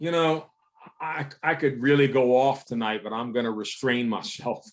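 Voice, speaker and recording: At a very slow pace, a man speaks at a medium pitch with ordinary pitch variation. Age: 70s. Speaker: pastor. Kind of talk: sermon. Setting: video call.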